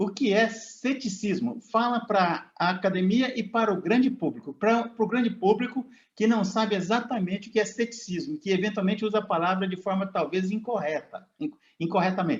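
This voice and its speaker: This man has a high pitch, a moderate pace and ordinary pitch variation. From Brazil, Minas Gerais. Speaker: interviewer. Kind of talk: interview.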